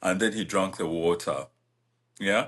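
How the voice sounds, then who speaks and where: In a Ugandan accent, a man talks over a quiet background. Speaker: podcast co-host. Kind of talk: casual chat.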